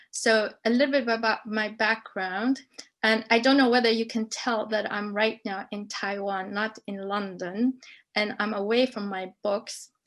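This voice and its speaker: Against a quiet background, a woman with a fairly high pitch speaks at a fairly slow pace with fairly even intonation. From Libya. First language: Arabic. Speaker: professor. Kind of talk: panel discussion.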